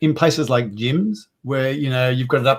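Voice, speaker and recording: This man's voice is somewhat breathy, with monotone, flat intonation. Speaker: accessibility specialist; guest. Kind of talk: webinar discussion. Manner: mumbling; halting, repeats words.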